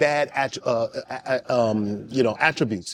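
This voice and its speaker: A man with an American accent. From US West Coast. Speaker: podcast host. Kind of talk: podcast interview.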